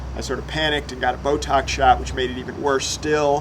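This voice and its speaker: A man talking fairly quickly over noticeable background noise. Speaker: political science professor. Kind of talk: testimony. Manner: hesitant, many filler uhs.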